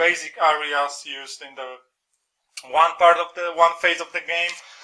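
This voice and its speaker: A man with a Polish accent speaks at a moderate pace. His high voice stays in a monotone, flat intonation. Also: long, frequent pauses, big swings in loudness. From Poland. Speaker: board game reviewer. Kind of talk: review. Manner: halting, many fillers.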